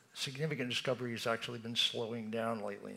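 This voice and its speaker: The voice is a man's, bright and sharp in tone. Vocal fry runs through his speech. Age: 80s+. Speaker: talk series curator. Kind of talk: moderated Q&A. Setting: stage with audience.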